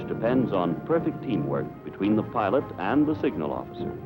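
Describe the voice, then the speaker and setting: Music plays in the background as a man speaks. His fairly low voice moves through very wide pitch swings. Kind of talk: wartime newsreel narration.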